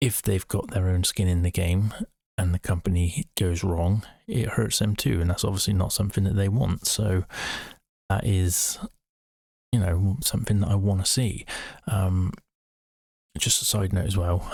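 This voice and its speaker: Quiet and somewhat breathy, a man with a very deep, low voice keeps a moderate pace and very even loudness, with long, frequent pauses. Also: fairly even intonation. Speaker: amateur investor live streamer. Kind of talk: live stream commentary. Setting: shut away in a room at home, late at night.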